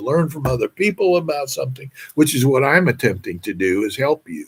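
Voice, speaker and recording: There's vocal fry in this man's fairly high-pitched voice as he talks at a fairly quick pace. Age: 80s+. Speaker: vlogger giving financial advice. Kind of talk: monologue to camera. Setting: at home. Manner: halting.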